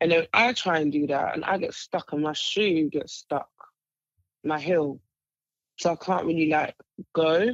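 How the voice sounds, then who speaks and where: A woman with a London accent talks at a fairly slow pace, with long, frequent pauses and ordinary pitch variation at a fairly low pitch. The sound is dry and close, with no echo. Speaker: podcast co-host. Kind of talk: casual chat.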